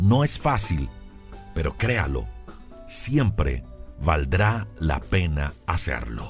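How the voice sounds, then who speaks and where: A man's voice at a very slow pace with very wide pitch swings, music in the background. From Colombia. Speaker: commercial announcer. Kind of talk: devotional sermon.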